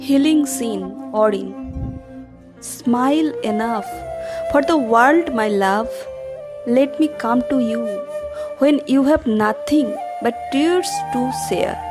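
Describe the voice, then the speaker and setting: With music playing in the background, the speaker talks at a very slow pace with lively intonation and long, frequent pauses. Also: woman, high pitch for a woman. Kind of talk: poetry reading.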